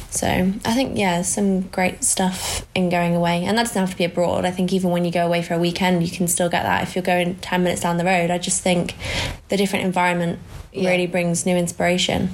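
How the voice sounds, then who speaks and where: A woman talks very fast in a fairly low voice. Her intonation stays monotone and flat, with very even loudness. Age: 20s. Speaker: podcast co-host. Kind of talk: casual chat.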